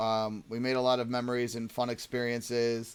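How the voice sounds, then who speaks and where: At a moderate pace, a man talks in a medium pitch. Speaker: card game channel host. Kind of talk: casual chat. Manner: loud.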